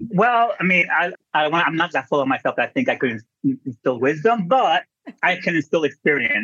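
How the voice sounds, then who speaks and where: A man with an American accent talks at a moderate pace in a high pitch, with very wide pitch swings and very even loudness. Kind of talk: casual interview chat. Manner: animated, humorous.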